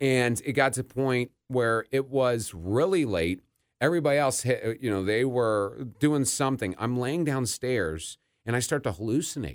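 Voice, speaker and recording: A plain, everyday voice with an American accent, lively intonation and moderate pace, in a very clean recording with a silent background. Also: man, medium pitch for a man. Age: 30s. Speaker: podcast host, person in addiction recovery. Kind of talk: casual interview chat.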